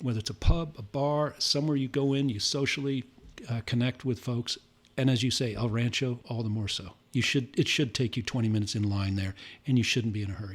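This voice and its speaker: A man with an American accent speaks at a fairly quick pace, somewhat breathy, with a medium pitch and ordinary pitch variation, on a very clean recording with a silent background. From Santa Ynez Valley, California. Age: 60s. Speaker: winery and brewery co-founder. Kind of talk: casual interview chat.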